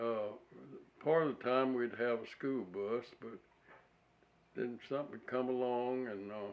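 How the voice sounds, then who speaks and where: A man talks at a fairly slow pace in a medium pitch. His intonation stays fairly even, broken by long, frequent pauses. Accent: Alabama. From US South, rural Alabama near Wedowee. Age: 80s+. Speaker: war veteran. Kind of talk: oral history interview. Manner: halting, many uh pauses.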